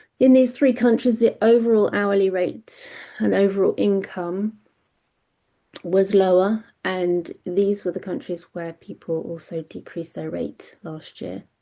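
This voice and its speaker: Against a quiet background, a dark, mellow voice with a British accent moves at a fairly slow pace, showing big swings in loudness and ordinary pitch variation. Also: woman, medium pitch for a woman. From Britain. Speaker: freelance medical communications panelist. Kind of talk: webinar data presentation. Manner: hesitant, many fillers and restarts.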